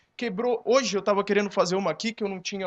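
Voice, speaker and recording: Against a quiet background, a man is recorded in a dry, close sound with no echo. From interior of São Paulo state, Brazil. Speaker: advertising agency creative director, entrepreneur. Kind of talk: talk to a live audience at a conference panel. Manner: informal, with many fillers.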